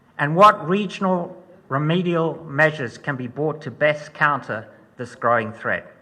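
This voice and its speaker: Against noticeable background noise, a man talks at a moderate pace and fairly high pitch, with ordinary pitch variation and big swings in loudness. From Zimbabwe. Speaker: security researcher and guest lecturer. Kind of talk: lecture. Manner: formal.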